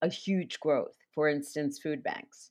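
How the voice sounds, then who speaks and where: A woman with a New York accent speaks at a very slow pace. Her fairly low voice comes through against a quiet background. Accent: New York, noticeable. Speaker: nonprofit fundraising consultant. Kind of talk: interview.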